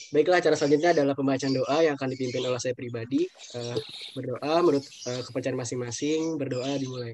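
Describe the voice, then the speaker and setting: A man at a medium pitch, very fast pace and fairly even intonation, with light background noise and a dry sound with no echo. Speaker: student emcee. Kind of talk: event emcee. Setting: video call. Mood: polite, formal. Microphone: video call.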